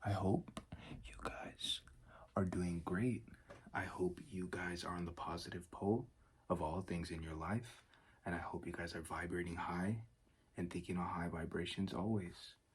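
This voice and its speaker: A soft-spoken man with a relaxed tone and a very deep, low, somewhat breathy voice talks at a moderate pace with ordinary pitch variation and long, frequent pauses. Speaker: ASMR creator. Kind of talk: self-development ramble, casual talk to camera. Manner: soft-spoken, relaxed.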